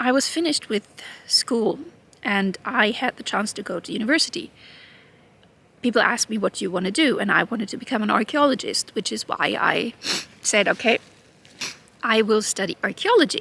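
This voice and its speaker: Speaking with a German accent, a woman with a fairly high pitch and a bright, sharp tone talks at a fairly quick pace with lively intonation, yet takes long, frequent pauses, all in a dry, close sound with no echo. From Germany. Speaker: YouTuber. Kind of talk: personal vlog monologue. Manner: halting.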